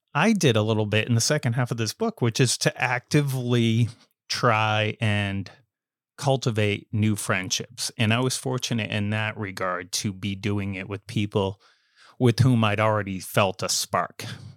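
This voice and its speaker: A man with an American accent and a fairly low pitch talks in a normal speaking voice at a moderate pace with ordinary pitch variation, in a dry, close sound with no echo on a very clean recording with a silent background. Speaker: journalist and author. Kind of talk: podcast interview.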